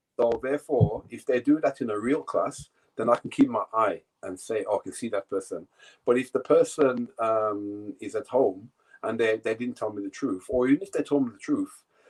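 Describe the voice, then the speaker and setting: The sound is dry and close with no echo as a man speaks with a British accent. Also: moderate pace. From England. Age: 60s. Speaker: yoga teacher. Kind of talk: casual interview.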